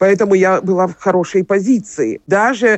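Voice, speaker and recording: A woman speaks in a fairly low pitch. Her pace is fairly slow. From Ukraine, Kyiv. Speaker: singer. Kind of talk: interview. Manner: halting.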